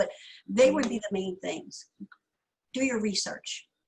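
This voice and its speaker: A somewhat breathy voice with an animated tone. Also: woman. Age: 50s. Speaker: product founder and entrepreneur. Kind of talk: interview.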